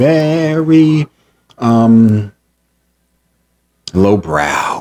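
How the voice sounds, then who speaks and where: A man is speaking. His tone is animated. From New York City (South Jamaica, Queens). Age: 40s. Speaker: vlogger telling personal story. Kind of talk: casual storytelling monologue.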